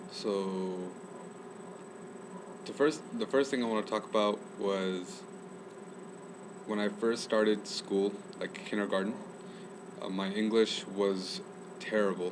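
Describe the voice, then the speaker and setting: A man talks at a fairly slow pace with long, frequent pauses. There is noticeable background noise. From US, Chicago then Northern California. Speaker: student. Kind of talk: casual interview.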